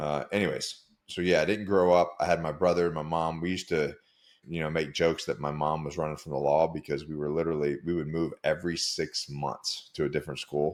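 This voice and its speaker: A man with an American accent speaks in a very deep, low pitch at a fairly quick pace, his intonation monotone and flat. The recording is very clean with a silent background. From United States. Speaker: former special forces soldier turned coach. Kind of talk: podcast interview. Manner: casual, halting with many fillers.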